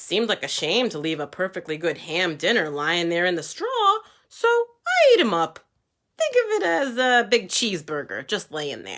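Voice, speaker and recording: A man does a put-on character voice at a high pitch, speaking at a moderate pace. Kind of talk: storytime read-aloud for kids. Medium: read story. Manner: conversational, wheedling.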